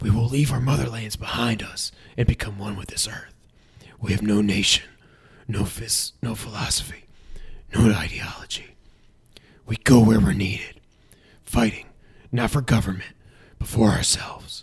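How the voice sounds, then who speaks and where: Putting on a character voice, a man speaks raspy and stern in a dramatic tone, medium in pitch and moderate in pace, with fairly even intonation and long, frequent pauses. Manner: stern, rallying, dramatic.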